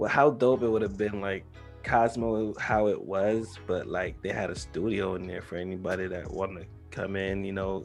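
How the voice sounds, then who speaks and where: Music plays in the background as a man with an American accent talks at a moderate pace. His pitch is fairly low, with ordinary pitch variation. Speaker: talk show host. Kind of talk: casual talk-show banter.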